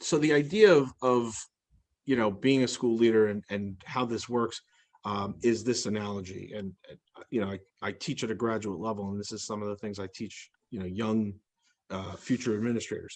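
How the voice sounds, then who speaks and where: A man at a medium pitch speaks with ordinary pitch variation and big swings in loudness. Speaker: school leader and graduate instructor. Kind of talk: webinar panel discussion. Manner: fast.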